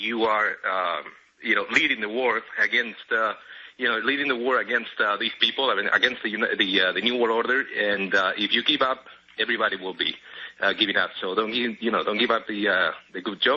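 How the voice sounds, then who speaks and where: In a Spanish accent, a man speaks fairly quickly at a medium pitch with fairly even intonation. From Spain. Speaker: caller, airline pilot. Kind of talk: call-in to radio show. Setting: phone call. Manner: halting, many fillers.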